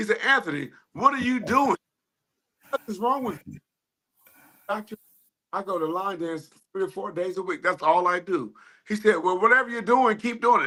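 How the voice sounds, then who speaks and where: A man with a high pitch talks in a raised, projected voice at a moderate pace, with a bright, sharp tone and lively intonation. His loudness swings widely, and he leaves long, frequent pauses. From Ohio, US Midwest. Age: 50s. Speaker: line dance instructor and DJ. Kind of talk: podcast interview.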